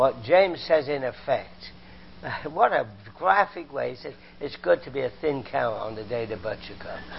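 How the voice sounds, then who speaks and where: A man with a British accent, fairly high pitch, an animated tone and lively intonation. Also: moderate pace. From Britain. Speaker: visiting preacher; former chemistry professor. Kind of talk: sermon. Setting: church. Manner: animated, humorous.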